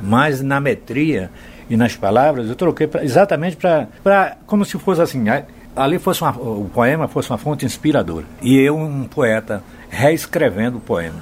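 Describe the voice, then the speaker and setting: Using vocal fry, a man speaks at a moderate pace in a fairly high pitch with very wide pitch swings. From Bahia, Brazil. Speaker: singer-songwriter. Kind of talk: interview, storytelling.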